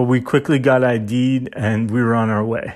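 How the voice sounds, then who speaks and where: In a Canadian accent, a man with a plain, everyday voice speaks at a medium pitch and a moderate pace on a very clean recording with a silent background. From Saskatchewan, Canada. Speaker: podcaster. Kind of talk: personal monologue.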